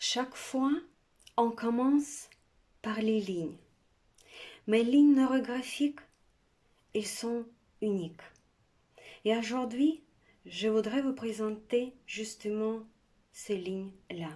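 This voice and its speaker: Speaking in a Russian accent, a woman with a dark, mellow tone and a fairly high pitch of ordinary variation talks at a very slow pace with long, frequent pauses. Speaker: art instructor. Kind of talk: tutorial.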